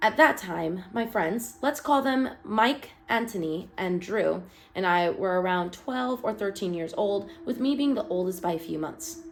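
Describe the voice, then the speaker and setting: Very wide pitch swings, hardly any pauses, and noticeable background noise. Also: woman, medium pitch for a woman, fairly slow pace. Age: 20s. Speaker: online horror story narrator. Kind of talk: reading aloud; casual commentary.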